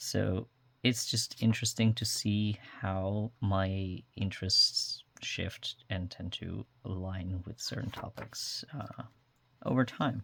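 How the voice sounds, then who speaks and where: Speaking at a very slow pace, a man with a fairly low voice keeps his intonation fairly even on a very clean recording with a silent background. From Netherlands. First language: Dutch. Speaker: journaling vlogger. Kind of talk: casual show-and-tell tutorial. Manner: many fillers, um and uh.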